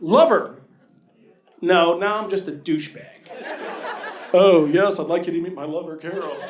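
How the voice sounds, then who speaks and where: Over audible room echo, a man with a high pitch talks at a moderate pace with fairly even intonation, big swings in loudness and long, frequent pauses. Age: 60s. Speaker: amateur stand-up comedian. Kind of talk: stand-up. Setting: comedy club stage with audience.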